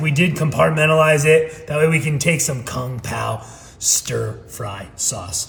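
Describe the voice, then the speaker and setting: Amid noticeable background noise and audible room echo, a man speaks at a fairly high pitch. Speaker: home cooking video host. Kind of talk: cooking tutorial. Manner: animated.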